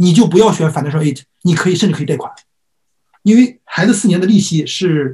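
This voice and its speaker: Against a quiet background, a man with a high pitch speaks at a very fast pace with lively intonation. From immigrated to US at age 3-4, grew up in US. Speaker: college admissions consultant; presenter. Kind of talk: lecture. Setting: online lecture. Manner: frequent filler hesitations. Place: home room.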